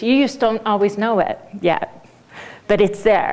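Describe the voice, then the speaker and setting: With a Swedish accent, a woman speaks at a fairly high pitch. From Sweden. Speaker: business coach. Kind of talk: lecture.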